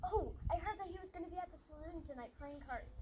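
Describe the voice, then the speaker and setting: A woman puts on a squeaky character voice at an extremely high pitch, racing at a very fast pace with ordinary pitch variation over clear background noise. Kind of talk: melodramatic western acting. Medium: short film.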